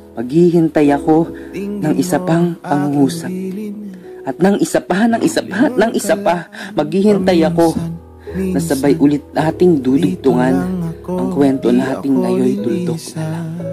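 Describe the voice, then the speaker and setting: Fairly slow male speech with music in the background. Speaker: spoken word poet. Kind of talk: spoken word poetry performance.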